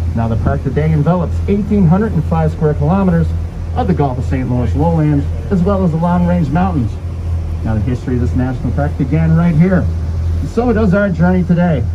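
A man speaks at a fairly quick pace with ordinary pitch variation. Noticeable background noise is present. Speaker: boat tour guide. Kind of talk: tour guide narration. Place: boat.

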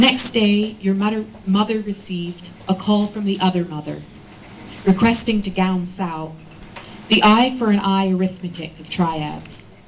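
Fairly slow speech with fairly even intonation and big swings in loudness over noticeable background noise. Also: woman, medium pitch for a woman. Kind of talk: poem reading. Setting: live reading at a bookshop event. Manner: solemn, somber, intense tone.

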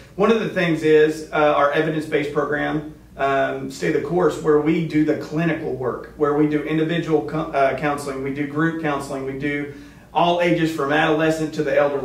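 A man's monotone, flat delivery at a fairly quick pace, with audible room echo. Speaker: guest. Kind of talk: interview answer. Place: meeting room. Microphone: camera far.

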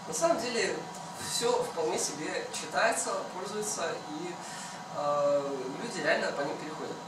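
Amid noticeable background noise and audible room echo, a man speaks at a moderate pace with long, frequent pauses. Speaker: hackathon participant. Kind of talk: project presentation. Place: meeting room. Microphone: camera far.

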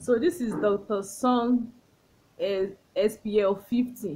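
At a very slow pace, a female speaker talks in a somewhat breathy voice. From Nigeria. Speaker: beauty vlogger. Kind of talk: product review tutorial. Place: home room. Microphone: phone near.

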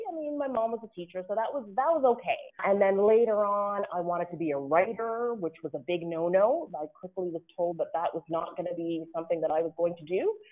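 With a Canadian accent, a woman uses a normal speaking voice at a medium pitch, talking at a fairly quick pace with lively intonation and hardly any pauses. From Ottawa, Canada. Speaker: diplomat. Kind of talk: interview.

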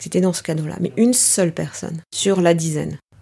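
A woman speaks with a dark, mellow tone at a medium pitch. Her pace is moderate, and her pitch varies in an ordinary way. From Paris, France (Greek parents). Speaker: executive and team coach. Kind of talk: interview.

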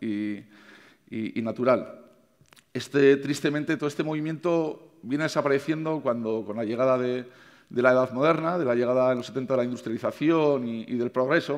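A man talks at a moderate pace in a medium pitch with ordinary pitch variation. The background is quiet. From Navarre, Spain. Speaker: chef. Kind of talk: conference talk. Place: stage. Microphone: headset.

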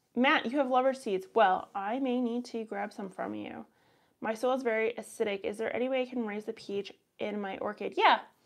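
A woman with a Canadian accent speaks at a fairly quick pace and a fairly high pitch. Her intonation stays fairly even over a quiet background. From Canada. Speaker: gardening YouTuber and soil scientist; gardening YouTuber. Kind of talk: casual live stream Q&A; live stream Q&A chat. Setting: live stream. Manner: upward sentence endings. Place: home room. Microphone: lapel.

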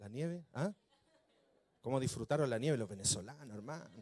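A man talking at a fairly quick pace with lively intonation and long, frequent pauses. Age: 40s. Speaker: pastor. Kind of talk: sermon. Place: church. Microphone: handheld.

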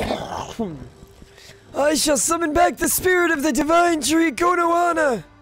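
A man uses a put-on character voice. He speaks at a fairly slow pace. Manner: forced, dramatic.

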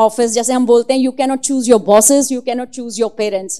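Against a quiet background, a woman speaks in a high pitch with fairly even intonation. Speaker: devotee sharing experiences. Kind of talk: testimony. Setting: religious gathering. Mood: earnest, emotional. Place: hall. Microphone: handheld.

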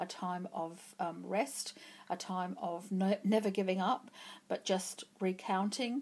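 This is a woman speaking. Her intonation stays fairly even. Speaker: tarot reader. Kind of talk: pick-a-card tarot reading. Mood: calm, encouraging. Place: home room.

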